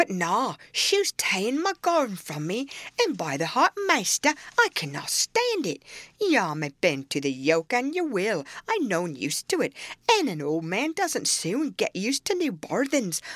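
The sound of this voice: Using a put-on character voice, a woman speaks at a fairly slow pace with very wide pitch swings, in a dry, close sound with no echo. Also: medium pitch for a woman, fairly bright tone.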